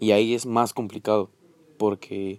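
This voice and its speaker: A man with a fairly low pitch and a dark, mellow tone speaks with monotone, flat intonation in a dry, close sound with no echo. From Peru. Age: 20s. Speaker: student podcaster. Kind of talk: casual monologue. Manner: hesitant.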